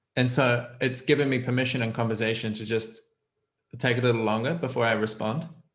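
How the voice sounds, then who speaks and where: There is audible room echo as a man of medium pitch speaks with fairly even intonation. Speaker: guest learning about coaching. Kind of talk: casual chat. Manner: fast.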